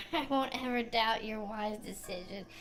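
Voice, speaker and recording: A woman speaks in a playful tone over music in the background. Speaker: vtuber streamer. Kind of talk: gaming stream commentary. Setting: live stream. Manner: casual, playful.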